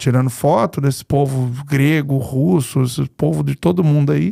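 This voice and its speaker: The voice has a dark, mellow tone. Its sound is dry and close, with no echo. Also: man. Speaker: podcast host. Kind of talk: podcast interview. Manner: casual, conversational.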